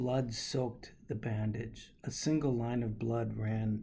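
Here is a natural reading voice. Its intonation is fairly even.

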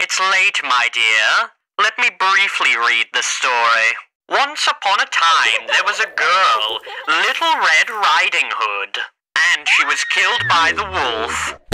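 At a middle pitch, the speaker uses a put-on character voice and moves at a fairly slow pace. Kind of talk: comic dub.

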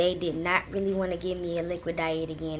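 A woman at a moderate pace, with noticeable background noise behind her. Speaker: new mother vlogger. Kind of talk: casual vlog chat. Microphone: phone near.

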